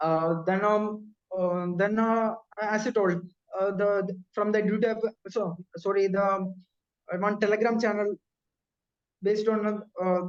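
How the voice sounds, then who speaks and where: A man with a Keralan accent, high-pitched, monotone and flat, at a fairly slow pace with long, frequent pauses. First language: Malayalam. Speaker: bank officer recounting exam success. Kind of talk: interview. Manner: halting, many fillers.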